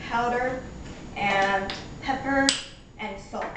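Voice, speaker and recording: Audible room echo surrounds a woman who talks at a very slow pace with a fairly high pitch. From Portugal. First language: Portuguese. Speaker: home cook. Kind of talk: cooking tutorial. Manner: casual, halting with fillers.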